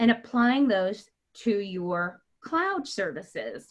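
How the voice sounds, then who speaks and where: Lively intonation marks a woman's fairly high voice. The background is quiet. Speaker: marketing manager hosting webinar. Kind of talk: webinar presentation. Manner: loud; hesitant with many fillers.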